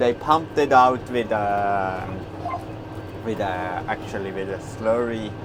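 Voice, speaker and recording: Over noticeable background noise, a man speaks at a fairly low pitch. His pace is fairly slow. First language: Swiss German. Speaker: farmer. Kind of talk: casual vlog talk while working. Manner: halting, with many fillers.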